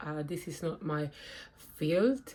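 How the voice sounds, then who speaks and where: A woman speaks with a non-native accent at a fairly slow pace. Her pitch variation is ordinary. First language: not English. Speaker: spiritual vlogger. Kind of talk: personal testimony. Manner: hesitant, with fillers and restarts.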